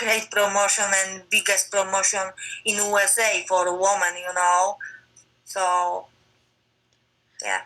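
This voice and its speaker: Long, frequent pauses break up a woman's very slow speech. She has a Polish accent and monotone, flat intonation. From Poland. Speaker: MMA fighter. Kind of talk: interview. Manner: halting non-native English.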